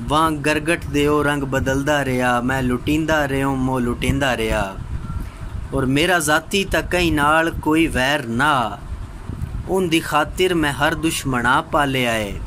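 There is light background noise behind this man. He speaks at a fairly high pitch with ordinary pitch variation. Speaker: voice-over artist. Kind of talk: poetry reading. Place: home room. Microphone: phone near.

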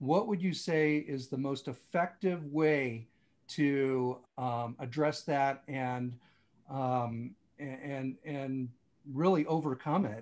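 The man talks at a very slow pace, his pitch varying in an ordinary way. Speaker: audience participant; interview guest or host on a podcast. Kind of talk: question from audience. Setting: video call. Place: home room. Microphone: video call.

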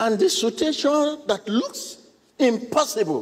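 This man's delivery is on the slow side. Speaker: preacher giving a sermon. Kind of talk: sermon to a congregation and viewers. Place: church. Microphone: lapel.

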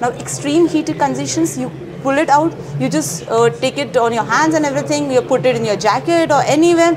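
A woman talks at a fairly quick pace with fairly high pitch and very wide pitch swings. Noticeable background noise runs underneath. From India. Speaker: university project officer; presenter. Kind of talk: interview at an exhibit, explaining products. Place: hall. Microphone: lapel.

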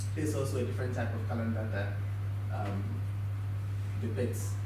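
With audible room echo and noticeable background noise, a man talks at a moderate pace in a fairly low pitch and a monotone, flat intonation. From Ghana. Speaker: visual artist. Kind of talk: symposium talk about own work. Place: classroom.

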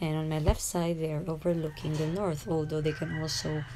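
A woman speaks with a very deep, low pitch and a dark, mellow tone over light background noise. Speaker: vlogger passenger. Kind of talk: casual vlog chat. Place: car. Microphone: phone near.

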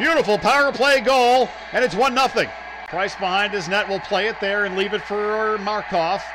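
Over noticeable background noise, a man speaks in a raised, projected voice with an animated tone, high pitch and ordinary pitch variation. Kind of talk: live commentary. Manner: fast-paced, rapid-fire play-by-play delivery; animated, rising excitement on goals.

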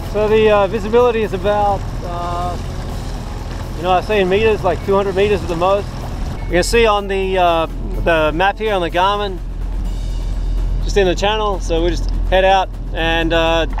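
A man speaks at a moderate pace in a high pitch with a flat, monotone delivery, the sound dry with no echo and music playing in the background. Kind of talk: casual vlog chat. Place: boat. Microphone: phone near.

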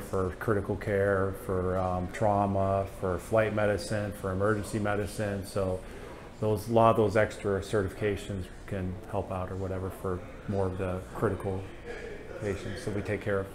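Against noticeable background noise, a man speaks in a monotone, flat intonation, with long, frequent pauses. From US Northeast (Pennsylvania). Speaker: food truck owner and flight medic. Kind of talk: casual interview. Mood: relaxed, friendly. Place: studio. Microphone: lapel.

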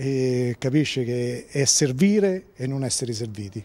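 This man has a dark, mellow tone at a medium pitch. His intonation is lively and his pace fairly slow. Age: 60s. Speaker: local politician. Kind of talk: interview.

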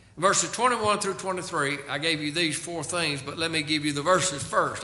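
Audible room echo around a man's voice. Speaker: pastor. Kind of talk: sermon. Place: church. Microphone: podium.

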